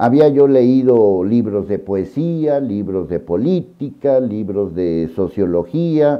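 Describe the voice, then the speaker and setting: Speaking at a very slow pace with hardly any pauses, a man with a fairly low pitch makes very wide pitch swings. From Mexico. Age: 60s. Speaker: journalist and news commentator. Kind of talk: personal monologue to camera. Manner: emotional, earnest.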